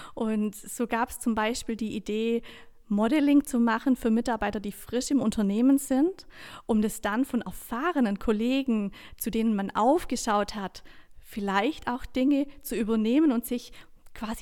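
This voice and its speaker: Speaking in a plain, everyday voice, a woman with a fairly high pitch talks at a moderate pace with ordinary pitch variation on a very clean recording with a silent background. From southern Germany. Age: 30s. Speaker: coach and trainer. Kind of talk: interview.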